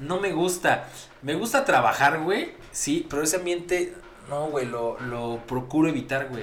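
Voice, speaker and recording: With a Mexican accent, a man talks at a fairly slow pace in a fairly high pitch with lively intonation, amid audible room echo and noticeable background noise. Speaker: podcast co-host. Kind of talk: casual chat. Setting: studio.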